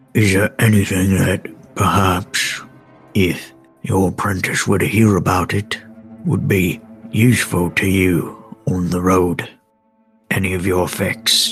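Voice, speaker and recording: Faint music plays in the background as a man uses a put-on character voice with a very deep, low pitch. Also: fairly slow pace. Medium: actual play. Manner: dry, clipped, proper.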